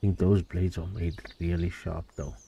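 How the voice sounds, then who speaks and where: Somewhat breathy voice of dark, mellow tone and ordinary pitch variation. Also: man. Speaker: gaming streamer. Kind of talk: live gameplay commentary. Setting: home.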